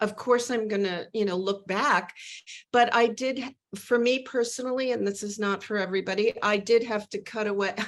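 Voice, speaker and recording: A woman with a plain, everyday voice talks at a medium pitch, with ordinary pitch variation. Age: 60s. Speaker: novelist. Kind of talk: interview.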